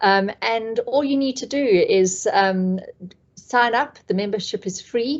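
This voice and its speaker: This woman has a South African accent. Her pitch varies in an ordinary way. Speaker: community trainer. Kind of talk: online training presentation. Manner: hesitant, many fillers.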